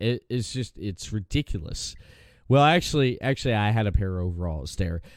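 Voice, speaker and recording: This is a normal speaking voice with lively intonation at a moderate pace. The recording is very clean and the background is silent. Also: man. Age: 40s. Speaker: podcast host. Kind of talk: casual podcast conversation.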